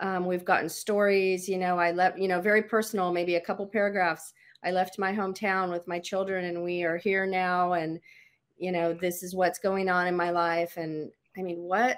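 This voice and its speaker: Monotone, flat intonation at a moderate pace, on a very clean recording with a silent background. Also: woman. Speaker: quilting charity volunteer. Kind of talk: casual interview.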